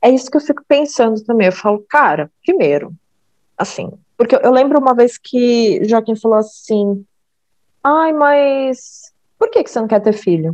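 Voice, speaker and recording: This woman's voice sits high in pitch. It swings very widely up and down. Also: fairly slow pace. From Brazil, São Paulo state. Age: 20s. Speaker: podcast guest. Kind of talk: casual chat.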